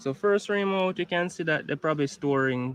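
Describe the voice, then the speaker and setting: Here a man speaks with a Jamaican accent and ordinary pitch variation. The sound is dry and close, with no echo. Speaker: beekeeper. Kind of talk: tutorial.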